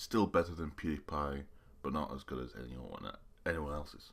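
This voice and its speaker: This man's voice sits very deep and low. It carries vocal fry throughout. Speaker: YouTuber. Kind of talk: live reaction commentary. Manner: halting.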